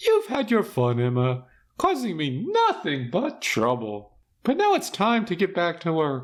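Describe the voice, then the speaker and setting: In a very clean recording with a silent background, a man does a put-on character voice pitched high, with very wide pitch swings at a moderate pace. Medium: read story. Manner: calm, cold, cackling, grandiose.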